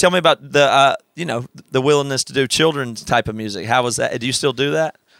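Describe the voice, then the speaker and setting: A man with a Southern US accent talks at a very fast pace. His pitch sits in the middle range and varies in an ordinary way. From South Carolina. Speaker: podcast host. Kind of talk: casual interview. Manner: smiling, upbeat.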